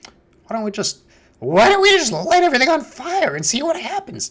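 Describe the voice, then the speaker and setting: A put-on character voice, high in pitch with very wide pitch swings, at a moderate pace. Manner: mischievous.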